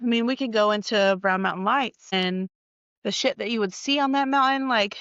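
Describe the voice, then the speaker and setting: Ordinary pitch variation at a moderate pace. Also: woman, fairly high pitch for a woman. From North Carolina Appalachian mountains, Morganton area. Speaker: podcast host, healthcare worker. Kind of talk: casual storytelling podcast. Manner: casual, filler-heavy (like, you know).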